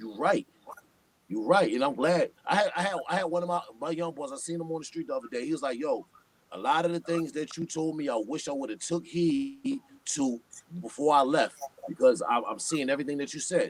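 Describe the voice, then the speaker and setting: With a New York accent, a man talks at a fairly quick pace in a fairly high pitch with very wide pitch swings. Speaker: hip-hop artist. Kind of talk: casual chat. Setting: live stream. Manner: animated.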